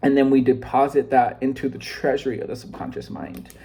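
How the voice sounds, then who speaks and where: Noticeable background noise beneath a man's speech, medium in pitch and with ordinary pitch variation. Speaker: self-improvement vlogger. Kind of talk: casual vlog book summary. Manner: fast, sometimes scattered; halting, many fillers.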